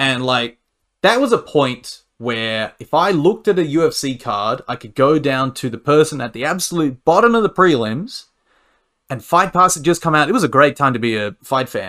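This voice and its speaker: A man with an Australian accent speaks at a moderate pace, his fairly high voice bright and sharp with lively intonation. The recording is very clean, with a silent background. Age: 30s. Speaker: amateur fighter and pro wrestler. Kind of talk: casual interview.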